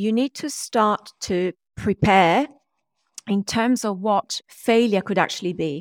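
Here is a woman with a normal speaking voice at medium pitch and ordinary pitch variation. She talks at a fairly slow pace in a dry, close sound with no echo. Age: 40s. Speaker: DNA-based performance mentor and author. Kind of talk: interview. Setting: video call.

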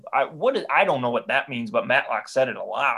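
A man talks at a very fast pace. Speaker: podcast co-host. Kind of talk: comedic podcast banter.

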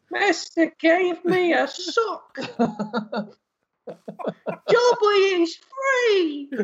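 A put-on character voice sits at an extremely high pitch. It moves at a very slow pace with long, frequent pauses.

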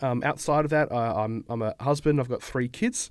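A man with an Australian accent speaks with ordinary pitch variation in a very clean recording with a silent background. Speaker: accounting firm founder. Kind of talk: casual podcast interview. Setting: studio.

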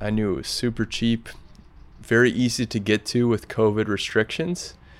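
This man's fairly low pitch carries an American accent. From US Midwest (Grinnell, Iowa). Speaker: former Peace Corps volunteer. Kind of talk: casual chat. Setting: rooftop balcony.

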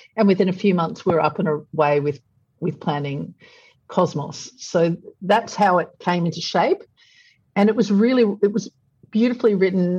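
With an Australian accent, a woman speaks at medium pitch and a moderate pace, somewhat breathy, with ordinary pitch variation. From Australia, Brisbane. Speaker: publisher and entrepreneur. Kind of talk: interview.

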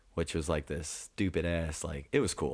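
Fairly even intonation at a fairly quick pace, in a very clean recording with a silent background. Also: man. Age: 20s. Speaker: stand-up comedian. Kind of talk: casual chat. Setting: studio.

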